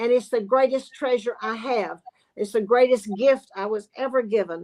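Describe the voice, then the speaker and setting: A woman speaks with a Southern US accent in an animated tone, at a moderate pace. Her pitch is fairly high, with ordinary pitch variation. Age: 70s. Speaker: sewing expert and business owner. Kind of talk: casual chat. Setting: live online show.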